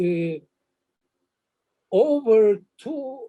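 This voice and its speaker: A man's extremely high-pitched voice with a dark, mellow tone. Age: 70s. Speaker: professor. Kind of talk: online talk Q&A. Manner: halting.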